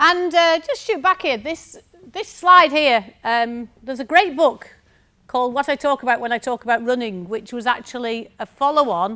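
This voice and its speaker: A woman speaks at a fairly quick pace in a strong northern English accent. Her high voice has a bright, sharp tone and lively intonation. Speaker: university lecturer. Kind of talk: conference talk.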